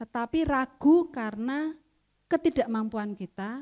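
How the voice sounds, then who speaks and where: A woman speaks with a high pitch and very wide pitch swings. Her tone is dark and mellow, and the sound is dry and close with no echo. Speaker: trainer. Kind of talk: training workshop. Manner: loud.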